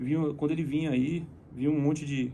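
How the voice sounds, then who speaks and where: Over light background noise, a man talks at a moderate pace with a fairly high pitch, a somewhat breathy, dark and mellow tone, and fairly even intonation. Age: 30s. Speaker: friend of a deceased singer, fitness house member; guest. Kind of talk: casual chat. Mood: reflective, serious. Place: studio. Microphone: phone near.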